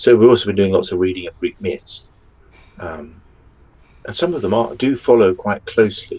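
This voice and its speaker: At a moderate pace, a man speaks with a strong English accent. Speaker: fantasy author. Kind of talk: podcast interview.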